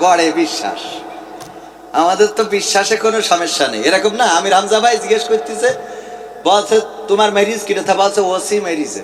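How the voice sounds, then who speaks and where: Noticeable background noise around a man's high voice. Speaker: Islamic preacher. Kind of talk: humorous religious sermon to a crowd.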